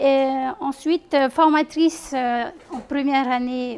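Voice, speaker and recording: A woman's high-pitched voice in a Tahitian accent, at a very slow pace with fairly even intonation. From French Polynesia, Tahiti east coast (Tautira). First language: Tahitian (speaking French). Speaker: teacher trainer and doctoral researcher. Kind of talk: conference presentation. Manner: halting, many hesitations.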